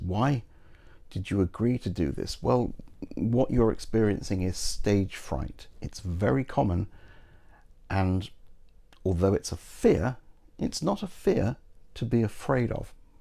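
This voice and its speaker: A man with a British accent speaks in a dark, mellow tone with vocal fry, lively intonation and a fairly slow pace, taking long pauses often. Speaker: YouTuber and game master advice host, magician. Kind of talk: advice monologue to camera. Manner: confident public speaker.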